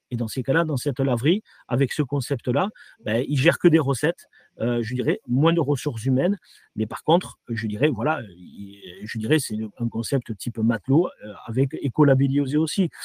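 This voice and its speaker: A man's medium-pitched, somewhat breathy voice at a moderate pace, with ordinary pitch variation. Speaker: franchise company director. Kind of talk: interview. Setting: virtual trade fair interview. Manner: halting, many repetitions and fillers.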